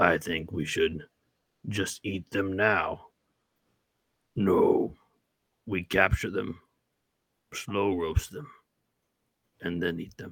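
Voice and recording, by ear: Using a put-on character voice, a man speaks very slowly in a raspy, very deep, low pitch, with long, frequent pauses.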